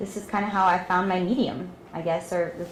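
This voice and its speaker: With a Texas accent, a woman talks at a fairly low pitch amid noticeable background noise and audible room echo. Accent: Texas twang. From Ecuador, Lebanon and Texas. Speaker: art student. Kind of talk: personal testimony. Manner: hesitant with many fillers.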